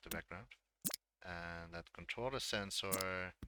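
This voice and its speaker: This man's voice sits very deep and low, with a bright, sharp tone. His intonation stays fairly even. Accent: Dutch. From Netherlands. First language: Dutch. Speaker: game creator and streamer. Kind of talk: live stream tutorial. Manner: halting.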